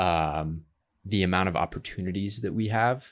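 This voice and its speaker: This man has an American accent and a very deep, low pitch, speaking at a moderate pace. The recording is very clean, with a silent background. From US South (Georgia). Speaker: podcast host. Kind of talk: casual interview.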